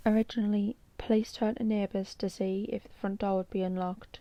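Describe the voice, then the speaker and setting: A woman's dark, mellow voice at a moderate pace, with fairly even intonation. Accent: British. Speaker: true crime YouTuber. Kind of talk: true crime narration.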